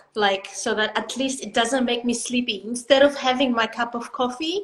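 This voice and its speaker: Against noticeable background noise, a woman with a high voice talks at a moderate pace and with ordinary pitch variation. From Greece. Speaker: pilates instructor. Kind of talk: casual chat. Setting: live stream video call.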